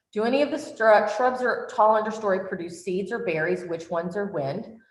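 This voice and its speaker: With a plain, everyday voice, the woman talks at a moderate speed and varies her pitch in an ordinary way. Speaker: workshop presenter. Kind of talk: online workshop lecture. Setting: virtual workshop.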